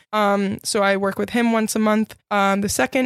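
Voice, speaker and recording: Fairly even intonation and a moderate pace come through noticeable background noise. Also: woman. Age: 20s. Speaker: freelancer and podcast host. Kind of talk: casual solo podcast monologue.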